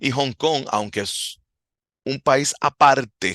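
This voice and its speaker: Speaking at a very slow pace, a man has a bright, sharp tone with vocal fry and a Puerto Rican accent. The sound is dry and close, with no echo. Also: quiet background. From Puerto Rico. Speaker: martial arts instructor, podcast host. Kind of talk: podcast monologue. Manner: halting.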